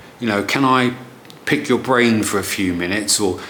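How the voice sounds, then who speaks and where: With audible room echo and noticeable background noise, a man speaks at a moderate pace with a medium pitch. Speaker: marketing consultant. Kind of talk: tutorial. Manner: casual, with fillers and repeats.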